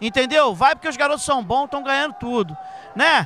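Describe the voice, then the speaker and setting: A man speaks in a raised, projected voice at an extremely high pitch. His intonation is lively, with light background noise behind him. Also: dry sound with no echo. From Brazil. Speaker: interviewer at a jiu-jitsu event. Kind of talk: casual interview. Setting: sports gym, event venue. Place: hall. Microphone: handheld.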